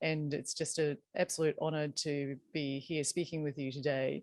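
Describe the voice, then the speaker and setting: In a very clean recording with a silent background, a woman speaks with an Australian accent. Her very deep, low voice moves at a moderate pace with fairly even intonation. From New Zealand, Bay of Plenty (Whakatane). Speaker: leadership and dialogue consultant. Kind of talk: interview.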